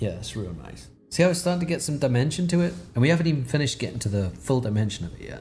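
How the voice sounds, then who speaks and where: A man talks very fast, with hardly any pauses, over music in the background. His medium pitch swings very widely, and his loudness rises and falls sharply. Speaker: digital artist. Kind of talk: live tutorial. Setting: live stream. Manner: casual, halting.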